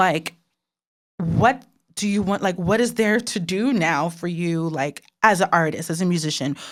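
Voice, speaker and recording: With an American accent, a woman uses an ordinary speaking voice at a fairly low pitch. She keeps a moderate pace and ordinary pitch variation. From US, of Haitian descent. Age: 30s. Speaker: podcast host. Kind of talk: interview conversation.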